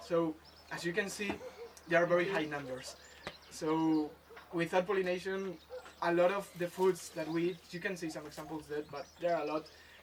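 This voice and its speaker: Amid noticeable background noise, a man with a Spanish accent speaks at a high pitch and a moderate pace, with monotone, flat intonation and long, frequent pauses. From Spain, Madrid. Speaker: environmental education intern. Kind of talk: presentation. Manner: halting, many fillers.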